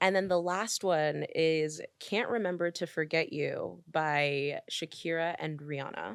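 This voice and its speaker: A woman with a fairly low pitch speaks at a fairly slow pace with hardly any pauses and ordinary pitch variation, on a very clean recording with a silent background. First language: French. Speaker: podcast guest. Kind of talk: casual chat.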